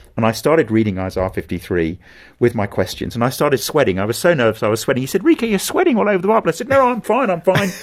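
A man talks very fast in a southern British accent, at a medium pitch with vocal fry. His pitch swings very widely. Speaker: pastor and evangelist. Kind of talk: interview conversation.

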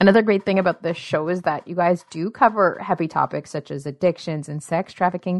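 A woman's unremarkable speaking voice at medium pitch, fairly quick, with ordinary pitch variation over a quiet background. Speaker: radio host. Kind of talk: interview.

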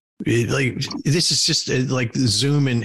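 Noticeable background noise sits behind speech delivered at a moderate pace with fairly even intonation. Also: man. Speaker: podcast host on board leadership. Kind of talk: casual interview. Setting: video call. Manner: halting, many fillers and repeats.

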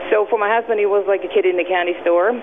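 Over noticeable background noise, a woman talks at a very fast pace with a medium pitch and ordinary pitch variation. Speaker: small business owner. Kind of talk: radio interview.

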